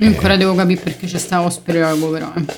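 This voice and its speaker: A woman's voice with music in the background. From Rome, Italy. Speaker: podcast co-host. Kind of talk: casual chat.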